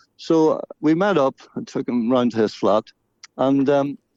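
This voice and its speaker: A man speaks with a Northern Irish accent at a fairly high pitch. The sound is dry and close, with no echo. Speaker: singer-songwriter and actor. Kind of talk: radio interview. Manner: halting.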